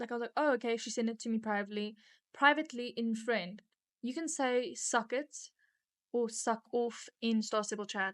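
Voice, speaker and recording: A woman with a South African accent speaks with ordinary pitch variation on a very clean recording with a silent background. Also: fairly high pitch for a woman, moderate pace. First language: Afrikaans. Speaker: podcast co-host. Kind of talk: casual chat.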